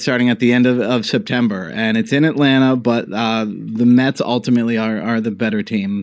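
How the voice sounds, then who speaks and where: Over a quiet background, a man with an American accent and a plain, everyday voice talks at a fairly quick pace and a medium pitch. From New York City, Greenwich Village. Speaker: political columnist and think tank fellow. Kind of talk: interview podcast.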